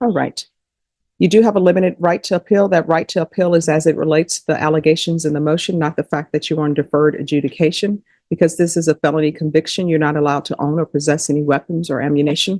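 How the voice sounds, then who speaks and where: The speaker talks at a very fast pace with a Louisiana accent. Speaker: judge. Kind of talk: courtroom proceedings. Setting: courtroom. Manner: formal.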